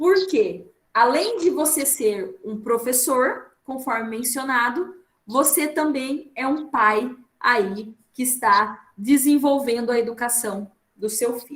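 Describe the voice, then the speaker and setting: A woman talks at a very slow pace. Her voice is high, with ordinary pitch variation. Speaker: trainer. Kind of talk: online training talk.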